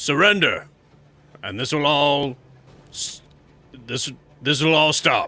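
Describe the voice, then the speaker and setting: In a put-on character voice, a man speaks very slowly at a fairly high pitch with ordinary pitch variation and long, frequent pauses. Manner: commanding.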